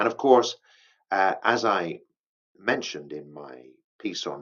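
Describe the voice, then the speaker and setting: A man with a British accent talks at a moderate pace, his voice showing vocal fry. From England. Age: 60s. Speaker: English teacher. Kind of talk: educational monologue for English learners. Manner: hesitant, with fillers and restarts.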